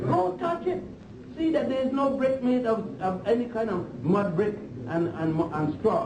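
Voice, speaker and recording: A man's high voice at a fairly slow pace, with very wide pitch swings, audible room echo and noticeable background noise. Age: 60s. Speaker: historian lecturer. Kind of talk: lecture. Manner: animated.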